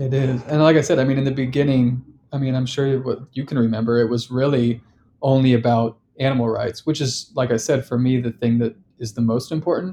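Fairly quick and with fairly even intonation, the voice has a dark, mellow tone and an American accent. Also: man, medium pitch for a man. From Sacramento, California, US. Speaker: artist and activist. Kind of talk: casual interview chat.

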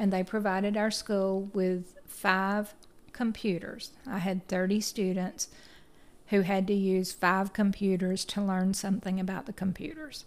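A woman's medium-pitched voice in a Tennessee accent, fairly slow and with fairly even intonation. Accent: US Southern (Tennessee). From Chattanooga, Tennessee. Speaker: teacher. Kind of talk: interview.

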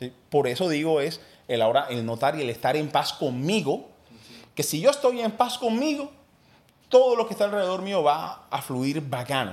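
A man speaks at a fairly high pitch with very wide pitch swings. The recording is very clean, the background silent. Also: moderate pace. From Colombia, Cartagena (Caribbean coast). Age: 30s. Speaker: entrepreneur and former radio host. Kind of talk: casual interview conversation.

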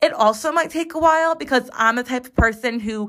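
Projecting a raised voice, a woman with an American accent speaks at a fairly quick pace in a high pitch, her tone bright and sharp and her pitch variation ordinary. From Chicago, US Midwest. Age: 20s. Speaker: podcast host. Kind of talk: casual monologue. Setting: home recording in bathroom.

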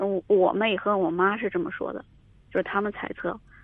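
Fairly quick, fairly even intonation in a normal speaking voice. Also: woman. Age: 30s. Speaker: caller seeking advice. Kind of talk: call-in advice conversation. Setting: phone call.

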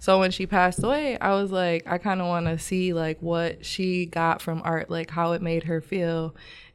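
An ordinary speaking voice from a woman, fairly low-pitched, at a moderate pace with fairly even intonation and hardly any pauses. The recording is very clean, with a silent background. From Michigan, Grand Rapids. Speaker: painter, visual artist. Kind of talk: casual interview chat. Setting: podcast studio.

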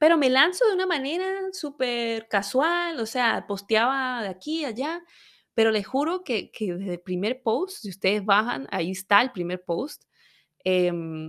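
A woman speaks at a fairly slow pace, her pitch swinging very widely. The recording is very clean, with a silent background. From Venezuela. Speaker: women's health educator, podcast host. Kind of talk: personal storytelling monologue.

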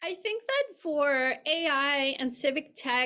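A woman's voice sits at a high pitch with a bright, sharp tone. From Mexico City, Mexico. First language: Spanish. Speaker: professor. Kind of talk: interview. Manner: halting.

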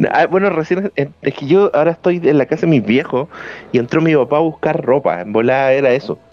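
A man with a Chilean accent, fairly high-pitched, lively intonation and a fairly quick pace, over noticeable background noise. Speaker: podcast co-host. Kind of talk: casual chat. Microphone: bad audio with ghostly background voice.

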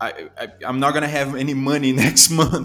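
Over music in the background, a man with a Brazilian accent talks at a fairly quick pace, his medium pitch held in fairly even intonation. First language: Portuguese. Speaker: immigrant sharing life story. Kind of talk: interview. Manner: halting, many repetitions.

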